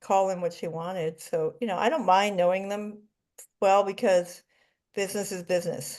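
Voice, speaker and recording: An unremarkable speaking voice from a woman, medium in pitch, fairly even in intonation, and moderate in pace. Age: 60s. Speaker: life coach in a coaching class. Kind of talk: casual group class discussion.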